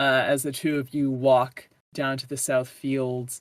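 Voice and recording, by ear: The speaker is reading aloud in a natural voice.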